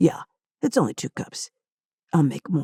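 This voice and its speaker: This woman puts on a raspy character voice, very deep and low in pitch, speaking at a moderate pace in a dry, close sound with no echo. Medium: read story. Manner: blunt, terse, unflappable.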